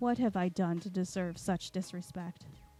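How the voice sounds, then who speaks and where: This woman puts on a hoarse character voice at a medium pitch. She keeps a moderate pace with fairly even intonation. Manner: muttered, displeased.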